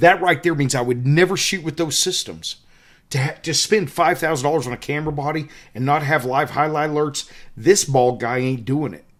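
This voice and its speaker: The man's voice sits at a fairly high pitch with ordinary pitch variation. The recording is very clean, with a silent background. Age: 50s. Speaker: wildlife photographer and workshop leader. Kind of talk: tutorial. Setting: hotel room. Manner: animated.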